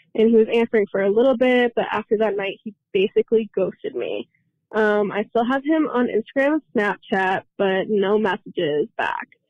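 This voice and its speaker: In an unremarkable speaking voice, a woman with a fairly high pitch talks at a moderate pace with ordinary pitch variation. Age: 20s. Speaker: caller. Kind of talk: recorded voice message.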